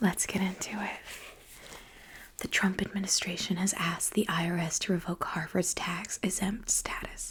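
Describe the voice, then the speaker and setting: Whispering and soft-spoken, a woman talks at a moderate pace. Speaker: ASMR creator and comedy writer. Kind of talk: whispered late-night comedy news monologue. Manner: whispered, soft, comedic delivery.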